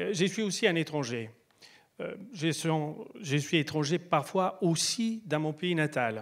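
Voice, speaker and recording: With an Italian accent, a fairly high-pitched man speaks very slowly with lively intonation and long, frequent pauses. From Italy. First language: Italian (speaking French). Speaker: speaker. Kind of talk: stage talk. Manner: halting.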